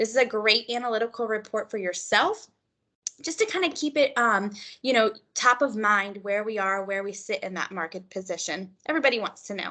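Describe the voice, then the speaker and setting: Fairly high in pitch with a bright, sharp tone, a woman with an American accent speaks at a fairly quick pace, using ordinary pitch variation over a quiet background. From California. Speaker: real estate software trainer. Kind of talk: live online training session. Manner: fast.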